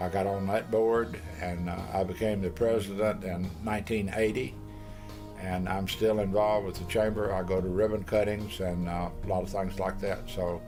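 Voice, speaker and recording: A man speaks with a Tennessee accent at a fairly low pitch. His intonation stays fairly even, with music in the background. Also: moderate pace. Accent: Southern US (Tennessee). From Middle Tennessee, USA. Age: old. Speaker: retired businessman. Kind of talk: interview answer.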